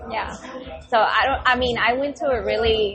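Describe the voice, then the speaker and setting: A woman's high-pitched voice with a Mexican accent, ordinary pitch variation, and noticeable background noise. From Mexico, then Dallas, Texas. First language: Spanish. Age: 30s. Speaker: podcast guest, book lover. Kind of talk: casual chat.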